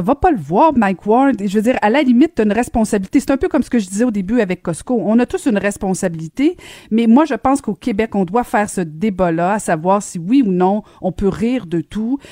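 In a Quebec accent, a woman speaks at a fairly quick pace with lively intonation and a fairly high pitch. Her tone is dark and mellow, and the sound is dry and close with no echo. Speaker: radio host. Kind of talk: radio talk show. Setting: studio.

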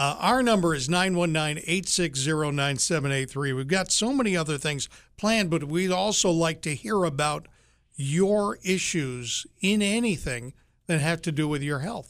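Here is a man with a fairly high pitch and an ordinary speaking voice, talking at a moderate pace. The recording is very clean, with a silent background. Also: lively intonation. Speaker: radio show co-host. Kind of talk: casual radio talk show.

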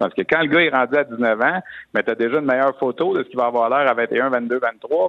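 A man's unremarkable speaking voice of medium pitch, moderately paced, its pitch varying in an ordinary way. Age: 50s. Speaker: hockey analyst. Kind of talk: sports talk radio discussion.

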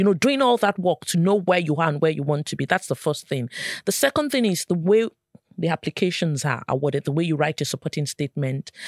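In a Nigerian accent, a woman speaks very fast with lively intonation and a fairly low pitch, on a very clean, dry, close recording with a silent background and no echo. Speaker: nurse, professional development lead. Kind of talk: interview discussion.

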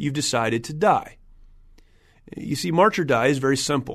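At a moderate pace, a man with an American accent talks in a fairly high pitch with ordinary pitch variation. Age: 40s. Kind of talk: solo podcast monologue.

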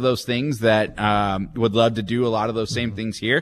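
A man talks in a normal speaking voice at a moderate pace. The background stays quiet. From Texas, Dallas area. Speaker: minor league baseball team executive. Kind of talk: radio interview.

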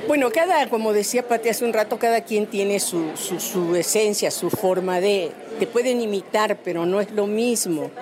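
The speech moves at a moderate pace with hardly any pauses, ordinary pitch variation and very even loudness. Crowd noise sounds in the background. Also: woman, fairly high pitch for a woman. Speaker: voice actress. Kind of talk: interview.

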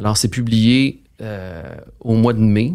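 A man with a Quebec accent speaks at a medium pitch. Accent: Québécois French. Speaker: financial strategist. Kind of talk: interview.

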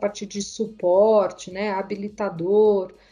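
A woman's medium-pitched, dark and mellow voice in a flat monotone. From Brazil, Mogi das Cruzes area (São Paulo state). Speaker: technology executive. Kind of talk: interview. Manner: halting, many fillers.

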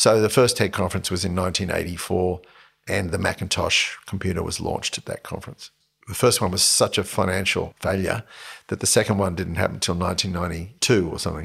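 A man's very deep, low voice in an Australian accent at a very fast pace, in a very clean recording with a silent background. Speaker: entrepreneur. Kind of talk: casual chat. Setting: host's home studio. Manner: animated.

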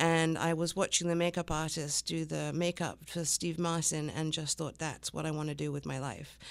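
A woman with a very deep, low pitch speaks at a moderate pace with hardly any pauses. Her intonation is monotone and flat, on a very clean recording with a silent background. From England. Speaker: business owner. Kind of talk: radio interview. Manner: hesitant, many fillers.

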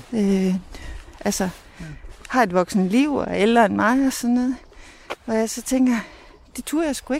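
A woman with a fairly high pitch and ordinary pitch variation speaks at a moderate pace, leaving long, frequent pauses. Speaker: mother of the host. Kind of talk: interview. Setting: outdoors.

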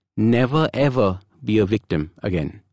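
A man with vocal fry and very wide pitch swings, in a dry, close sound with no echo and a very clean recording with a silent background. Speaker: habit coach and podcast host. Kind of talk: solo motivational podcast monologue.

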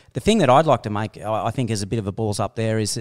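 At a very fast pace, a man talks at fairly low pitch with ordinary pitch variation, on a very clean recording with a silent background and a dry, close sound with no echo. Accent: Australian. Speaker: sports podcast host. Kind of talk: casual chat.

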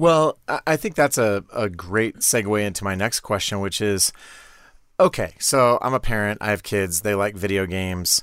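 A man with a plain, everyday voice talks at a fairly low pitch with ordinary pitch variation, recorded very cleanly against a silent background with a dry, close sound and no echo. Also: moderate pace. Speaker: podcast host. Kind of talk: casual chat.

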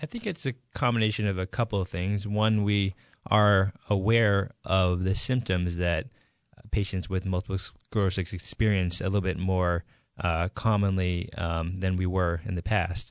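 At a moderate pace, a man with an American accent and a very deep, low pitch speaks with fairly even intonation, the sound dry and close with no echo over a quiet background. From Massachusetts, near Boston. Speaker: neurologist. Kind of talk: radio interview. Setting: radio studio.

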